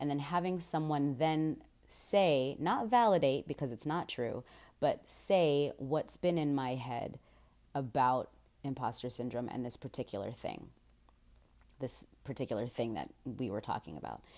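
Using lively intonation and a very deep, low pitch, a woman speaks at a fairly slow pace in a dark, mellow tone. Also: very clean recording, silent background. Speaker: solo podcast host. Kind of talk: casual monologue. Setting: unfamiliar room, keeping voice down. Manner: quieter than usual.

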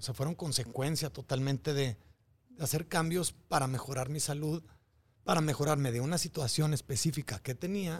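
A man's fairly high, somewhat breathy voice at a moderate pace. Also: ordinary pitch variation. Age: 40s. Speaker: biohacker and fitness trainer. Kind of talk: casual interview. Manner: halting, repeats words.

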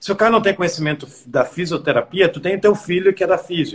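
A high-pitched man speaks at a fairly quick pace with ordinary pitch variation. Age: 30s. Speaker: fitness coach and podcast host. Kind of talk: casual interview. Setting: live stream.

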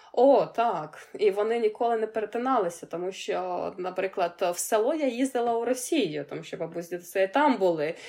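A woman speaks with a Ukrainian accent, her pitch fairly high and her tone dark and mellow. She talks at a fairly quick pace with lively intonation.

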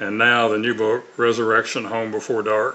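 A man's medium-pitched voice with a Southern US accent and a bright, sharp tone. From US South, Mississippi (Tupelo). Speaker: author and former narcotics officer. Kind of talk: testimony. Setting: remote video call. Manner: frequent fillers and repetitions.

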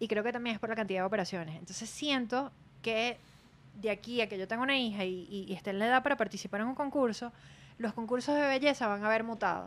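This woman's pitch sits fairly high. Her delivery comes at a very fast pace. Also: ordinary pitch variation. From Venezuela (Maracay, Aragua). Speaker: podcast co-host, former beauty pageant contestant. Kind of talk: casual chat.

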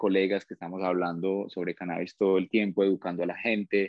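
Fairly quick male speech, fairly low in pitch. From Colombia, Pitalito, Huila. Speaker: plant biotechnologist. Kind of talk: casual interview. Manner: halting, repeats words.

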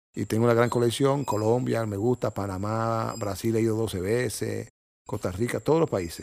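In a very clean recording with a silent background, a man of medium pitch speaks at a moderate pace with ordinary pitch variation. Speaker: cardiologist and nature photographer. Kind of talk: casual interview. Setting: guest's home. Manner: halting.

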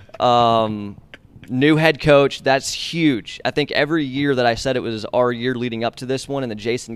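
A man's normal speaking voice at medium pitch and moderate pace, on a very clean recording with a silent background. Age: 20s. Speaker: sports broadcaster. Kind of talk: casual interview.

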